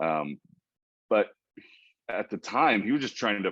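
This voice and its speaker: A man talks at a moderate speed with a quiet background behind him. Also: dry, close sound with no echo. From Oklahoma. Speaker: sports PA announcer. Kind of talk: interview answer.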